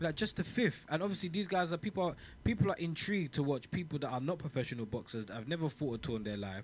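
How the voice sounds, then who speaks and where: The voice is somewhat breathy, racing at a very fast pace with very wide pitch swings. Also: man. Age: 30s. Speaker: podcast host. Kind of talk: casual chat.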